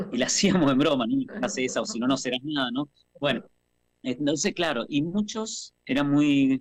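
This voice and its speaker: Recorded with a dry, close sound and no echo, a man speaks at a moderate pace with very wide pitch swings. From Argentina, Mendoza. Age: 50s. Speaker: actor and theatre teacher. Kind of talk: radio interview, personal life story.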